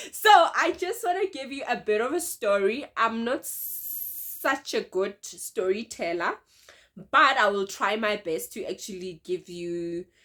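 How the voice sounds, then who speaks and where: A woman's bright, sharp, fairly high-pitched voice at a fairly slow pace, with very wide pitch swings, on a very clean recording with a silent background. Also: big swings in loudness. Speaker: vlogger. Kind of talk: storytelling vlog. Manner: casual.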